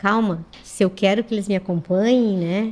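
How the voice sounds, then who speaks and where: Fairly even in intonation, the voice has a dark, mellow tone and a moderate pace. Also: woman. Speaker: schoolteacher. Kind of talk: radio interview. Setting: radio studio.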